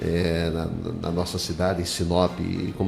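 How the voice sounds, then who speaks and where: With monotone, flat intonation, a man speaks at a very deep, low pitch amid audible room echo. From Triunfo, northeastern Brazil. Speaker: radio host. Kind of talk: radio interview.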